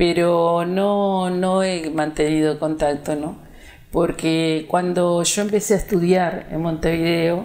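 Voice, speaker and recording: Very slowly and with monotone, flat intonation, a woman speaks at a fairly low pitch. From Uruguay, Pando. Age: 70s. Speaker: retired schoolteacher. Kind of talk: interview about life story. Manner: hesitant, many fillers.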